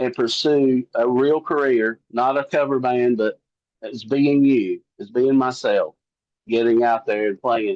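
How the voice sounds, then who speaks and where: A man with a Southern US accent at a medium pitch, fairly slow in pace, with fairly even intonation. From US South. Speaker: country singer-songwriter. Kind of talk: interview. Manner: casual.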